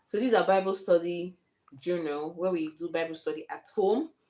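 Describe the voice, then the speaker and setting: A woman speaks in a fairly low voice. Her tone is dark and mellow. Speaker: lifestyle vlogger, homemaker mother. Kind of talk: casual vlog talk to camera. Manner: fast.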